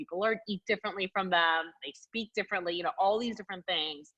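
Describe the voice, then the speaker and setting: Speaking with a Spanish accent, a woman has a bright, sharp tone at a medium pitch with ordinary pitch variation. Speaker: army officer. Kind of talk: interview.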